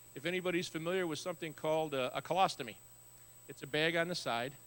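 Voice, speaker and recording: Talking at a very fast pace, a man with an Upper Midwest accent has a bright, sharp tone. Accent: Upper Midwest American. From Wisconsin, US Upper Midwest (Neenah). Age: 60s. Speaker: guest speaker, author with muscular dystrophy. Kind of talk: testimony. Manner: conversational with frequent fillers.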